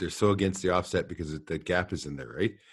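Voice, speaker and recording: Over a quiet background, a man with a western Canadian accent talks at a very fast pace in a very deep, low voice. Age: 60s. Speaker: podcast host and trapper. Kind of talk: casual interview chat. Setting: internet call.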